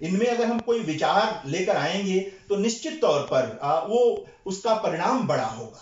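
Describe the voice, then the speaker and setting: With a Bihari accent, a man talks in a high pitch with lively intonation and hardly any pauses over noticeable background noise. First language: Bhojpuri (speaking Hindi). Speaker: Hindi scholar / lecture speaker. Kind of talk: lecture at a seminar. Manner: hesitant with frequent fillers.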